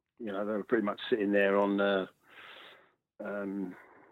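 Speaking at a moderate pace, a man has a South London accent. His pitch sits fairly low. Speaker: musician in a mod band. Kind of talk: casual interview.

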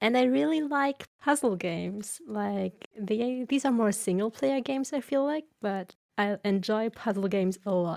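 A woman's fairly high, plain, everyday voice, with lively intonation, a fairly slow pace and hardly any pauses, in a dry, close sound with no echo. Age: 20s. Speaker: gamer podcast guest. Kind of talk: casual chat.

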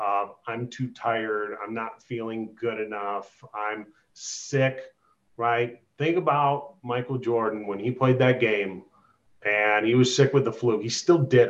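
With an American accent, a man speaks in an unremarkable speaking voice, at a fairly slow pace and with fairly even intonation. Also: medium pitch for a man. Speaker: real estate agent. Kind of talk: interview on a group call.

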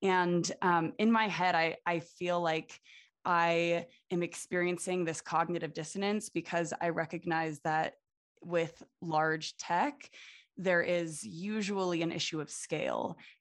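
A woman's normal speaking voice at a fairly low pitch, with fairly even intonation and a fairly slow pace, over a quiet background. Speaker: podcast co-host, PhD student. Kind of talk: interview.

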